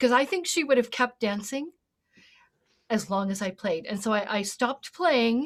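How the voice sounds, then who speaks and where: With ordinary pitch variation, a woman talks at a fairly high pitch in a plain, everyday voice. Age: 60s. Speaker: singing teacher. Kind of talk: panel discussion.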